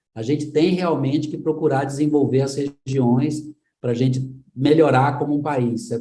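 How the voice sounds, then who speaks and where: With a Pernambuco accent, a man speaks at a moderate pace in a dark, mellow tone, somewhat breathy and medium in pitch. His intonation is fairly even, and audible room echo surrounds the voice. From São Paulo, Brazil. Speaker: tech school executive director. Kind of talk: interview.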